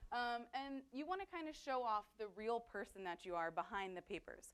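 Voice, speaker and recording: A woman with a fairly high pitch talks at a fairly quick pace with very wide pitch swings. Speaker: digital communications coordinator and webmaster. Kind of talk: workshop presentation. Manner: fast.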